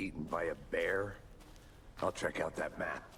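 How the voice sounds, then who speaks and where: A man does a put-on character voice over clear background noise. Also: moderate pace. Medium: video game. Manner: dry, deadpan.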